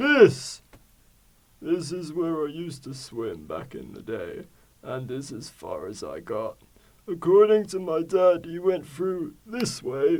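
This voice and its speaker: Put-on character voice from a man, high-pitched and at a fairly slow pace. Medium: stage play. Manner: warm, enthusiastic storyteller.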